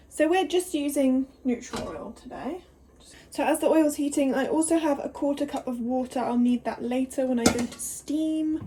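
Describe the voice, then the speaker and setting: Against noticeable background noise, a woman with a high pitch talks at a moderate pace with ordinary pitch variation. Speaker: vlogger. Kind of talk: cooking vlog. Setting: home kitchen; hotel room. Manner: animated; whispering.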